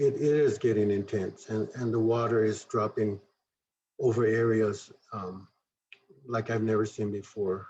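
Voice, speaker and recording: A man's dark, mellow, somewhat breathy voice at medium pitch, moderate pace and flat, monotone intonation. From southern Arizona, Tohono O'odham Nation. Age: 60s. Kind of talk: presentation. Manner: halting, with fillers and self-corrections.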